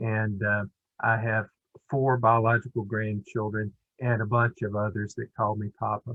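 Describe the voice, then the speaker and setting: Fairly low-pitched male voice with an Alabama accent, monotone and flat, at a moderate pace. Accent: US Southern (Alabama). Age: 60s. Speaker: children's center director. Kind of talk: webinar presentation.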